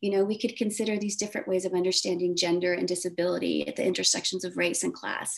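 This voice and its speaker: A woman with an American accent, an unremarkable speaking voice, and ordinary pitch variation. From Texas, Corpus Christi. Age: 50s. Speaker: professor. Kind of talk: interview.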